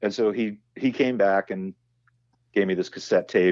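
This man has an American accent. He keeps a moderate pace. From Southern California (Huntington Beach, Orange County). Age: 50s. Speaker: musician and voice actor. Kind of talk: casual interview chat. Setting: podcast interview. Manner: halting, many fillers and repetitions.

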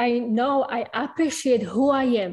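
A woman's high, dark and mellow voice with a strong non-native accent, at a fairly slow pace. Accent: strong foreign. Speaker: audience member asking a question. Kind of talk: live Q&A question. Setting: video call. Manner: halting.

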